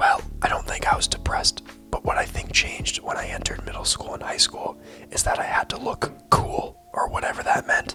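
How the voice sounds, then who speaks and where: A man whispering at a fairly quick pace over background music. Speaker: video essayist. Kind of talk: personal reflective monologue. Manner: whispered.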